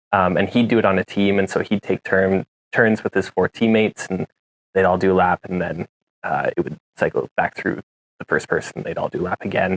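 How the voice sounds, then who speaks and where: A man with a western Canadian accent talks at a fairly quick pace in a dry, close sound with no echo. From Canada, Jasper, Alberta. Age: 20s. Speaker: mountain bike racer. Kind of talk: interview. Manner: hesitant, many fillers.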